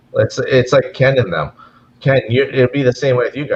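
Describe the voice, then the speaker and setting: This speaker has a Canadian accent and moves at a fairly quick pace. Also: man. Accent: Canadian, noticeable. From Canada, near Minnesota. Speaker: gold mine community relations worker. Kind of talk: casual chat. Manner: halting, repeats words.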